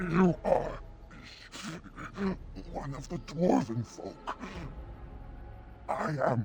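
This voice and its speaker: A man does a put-on character voice that sounds strained, speaking at a very slow pace. Long, frequent pauses break up his speech, and clear background noise sits behind it. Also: fairly high pitch for a man. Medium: video game. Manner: pleading, strained.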